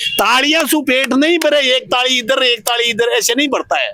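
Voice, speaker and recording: Noticeable background noise sits behind a raised, projected voice. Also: man. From Rajasthan, rural Jaipur (Jhotwara). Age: 60s. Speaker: villager, pensioner. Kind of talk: street interview. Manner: animated.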